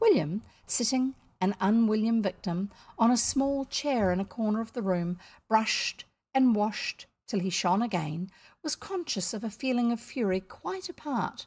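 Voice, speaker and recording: Lively intonation carries a woman's somewhat breathy voice. The recording is very clean, with a silent background. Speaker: storyteller reading aloud. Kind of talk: children's book read aloud.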